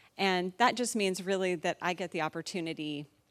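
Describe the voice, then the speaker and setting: In a very clean recording with a silent background, a woman speaks in a normal speaking voice, fairly low in pitch, with fairly even intonation. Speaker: church committee chair. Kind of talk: public report to congregation. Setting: stage with audience, microphone.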